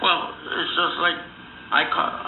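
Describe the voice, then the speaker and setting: Fairly slow speech with audible room echo and noticeable background noise. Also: man. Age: 60s. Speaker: diabetes patient. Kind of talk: casual chat. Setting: phone call.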